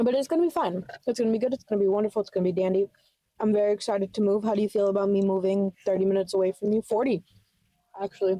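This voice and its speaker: A woman with an American accent talks very fast at a medium pitch, with a dark, mellow tone, ordinary pitch variation and very even loudness in a dry, close sound with no echo. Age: 20s. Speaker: podcast co-host. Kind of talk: casual chat.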